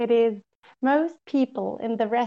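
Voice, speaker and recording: Using a German accent, a woman talks at a high pitch and a fairly slow pace with fairly even intonation. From southern Germany. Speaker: podcast guest. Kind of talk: casual chat. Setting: video call. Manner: outgoing.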